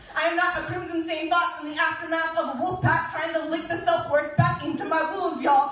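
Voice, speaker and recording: Against noticeable background noise, a woman with an extremely high pitch speaks in a flat, monotone way. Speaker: slam poet. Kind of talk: slam poetry performance. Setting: live stage.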